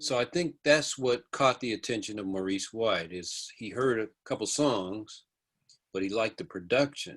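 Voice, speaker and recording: In a very clean recording with a silent background, a man with an unremarkable speaking voice and an American accent talks at a moderate pace, his medium pitch carried by lively intonation. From US, army bases in California. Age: 60s. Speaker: music producer and songwriter. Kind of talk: interview.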